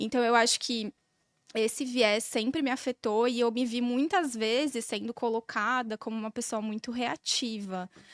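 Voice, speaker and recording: A woman's fairly high voice, calm in tone, with fairly even intonation and a moderate pace. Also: very clean recording, silent background. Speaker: podcast guest, corporate manager with law background. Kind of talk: casual chat.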